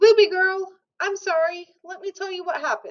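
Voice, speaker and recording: Squeaky put-on character voice from a woman, extremely high in pitch, with monotone, flat intonation and big swings in loudness. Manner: apologetic, breezy.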